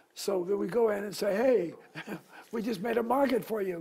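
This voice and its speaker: Over noticeable background noise, a man talks in a high voice at a moderate pace with ordinary pitch variation. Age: 80s+. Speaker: small business owner. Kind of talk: interview answer.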